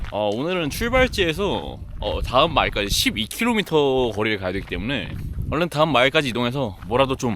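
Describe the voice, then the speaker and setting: This man's medium pitch comes through at a very fast pace. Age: 20s. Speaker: travel vlogger. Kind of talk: travel vlog narration.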